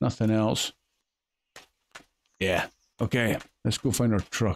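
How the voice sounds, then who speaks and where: In a dry, close sound with no echo, a man with fairly low pitch speaks at a very slow pace. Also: ordinary pitch variation. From Scotland. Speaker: gaming video creator. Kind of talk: game commentary. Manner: casual, chatty.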